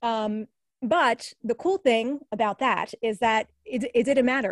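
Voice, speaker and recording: A normal speaking voice with an American accent shows ordinary pitch variation. The recording is very clean and silent behind, with a dry, close sound and no echo. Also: woman. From Brooklyn, New York. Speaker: TV and radio newscaster. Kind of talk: casual interview conversation. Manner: chatty, casual.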